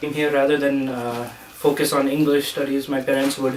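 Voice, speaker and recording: Over noticeable background noise, a man with an American accent speaks at a moderate pace and a medium pitch. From Indian community in US. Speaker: university student. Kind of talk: casual discussion.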